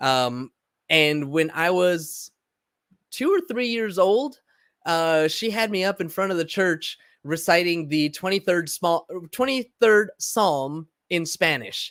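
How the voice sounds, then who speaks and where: A man with a Californian accent and a high pitch speaks at a very slow pace with lively intonation, in a very clean recording with a silent background and a dry, close sound with no echo. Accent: Californian American English. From Southern California (Los Angeles, San Diego). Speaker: podcast host. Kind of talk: personal monologue. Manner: halting, many fillers and repetitions.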